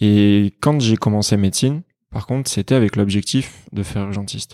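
A man speaks at a moderate pace with fairly low pitch, fairly even intonation and a dark, mellow tone. The sound is dry and close with no echo, in a very clean recording with a silent background. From France, partly raised in Greece. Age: 30s. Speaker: emergency doctor and app creator. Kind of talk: casual interview. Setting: at the host's home.

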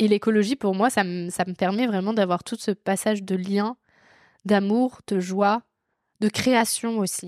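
A woman speaks at a fairly slow pace with a medium pitch. The recording is very clean and silent in the background, with a dry, close sound free of echo. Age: 20s. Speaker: podcast host. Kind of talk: casual chat. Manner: animated.

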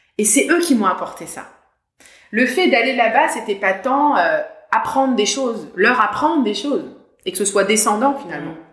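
At a moderate pace, the voice makes very wide pitch swings amid audible room echo. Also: woman, fairly high pitch for a woman. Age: 40s. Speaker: mental coach for athletes. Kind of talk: interview. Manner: hesitant, frequent fillers and repetitions.

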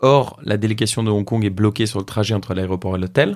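A man talks at a fairly quick pace and a medium pitch. He has an unremarkable speaking voice. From France. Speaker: social entrepreneur. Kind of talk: casual interview conversation.

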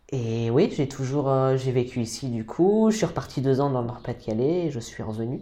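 A man at a moderate pace with lively intonation. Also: medium pitch for a man. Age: 30s. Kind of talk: casual interview. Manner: halting, with repetitions.

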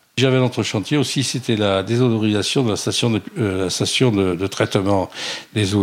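Against noticeable background noise, a man with a fairly low pitch talks fairly quickly, with ordinary pitch variation and very even loudness. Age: 70s. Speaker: retired sailor and shipwreck survivor. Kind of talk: interview testimony. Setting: at home. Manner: halting, repeats words.

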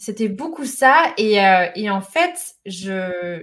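A woman's fairly high, somewhat breathy voice with an animated tone. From France, Lyon. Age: 30s. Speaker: entrepreneur, organisation expert. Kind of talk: casual chat; monologue.

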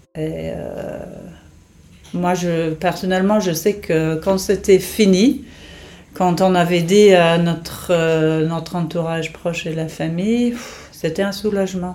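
A woman's fairly low voice, with fairly even intonation, a very slow pace and long, frequent pauses. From England. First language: English (speaking French). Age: 50s. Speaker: nurse and caregiver to her ill husband. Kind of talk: personal testimony. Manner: hesitant, many fillers.

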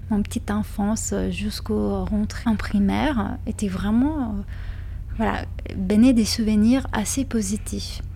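Someone with a Lithuanian accent speaks at a very slow pace. Noticeable background noise runs under the speech. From Lithuania, Kaunas. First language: Lithuanian (speaking French). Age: 30s. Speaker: interviewee sharing life story. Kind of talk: personal testimony interview. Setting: hotel lounge in Paris. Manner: hesitant, many fillers and repetitions.

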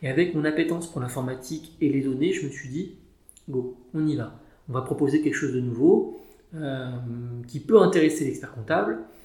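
A man talks at a fairly quick pace with a fairly high pitch. Long, frequent pauses break up his speech, and audible room echo fills the recording. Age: 30s. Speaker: chartered accountant. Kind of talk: interview. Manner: hesitant, many fillers.

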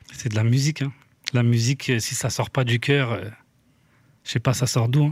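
Somewhat breathy, a man speaks with fairly even intonation and long, frequent pauses. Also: medium pitch for a man, moderate pace, very clean recording, silent background. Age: 40s. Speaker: music producer and manager. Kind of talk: casual chat.

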